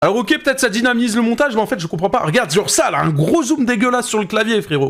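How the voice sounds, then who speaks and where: A man's high, animated voice at a very fast pace with very wide pitch swings. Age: 20s. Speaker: streamer reacting to videos. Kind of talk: live stream reaction commentary.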